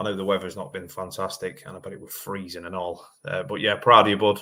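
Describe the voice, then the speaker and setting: There is a man mumbling. He goes at a fairly quick pace. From eastern England. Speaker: car mechanic and livestream host. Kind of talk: live-stream chat answering viewer comments. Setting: livestream. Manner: mumbly.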